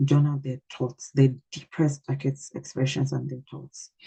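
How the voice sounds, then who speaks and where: A woman with a very deep, low pitch and a dark, mellow tone speaks in a monotone, flat intonation at a moderate pace. Her voice is somewhat breathy, in a dry, close sound with no echo. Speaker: parenting coach giving a talk. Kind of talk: online workshop talk. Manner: hesitant, many fillers and repeats.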